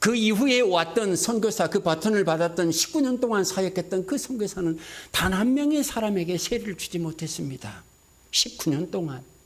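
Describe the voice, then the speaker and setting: This man's voice is high in pitch. He keeps a moderate pace and lively intonation. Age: 60s. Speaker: missionary. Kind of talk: sermon.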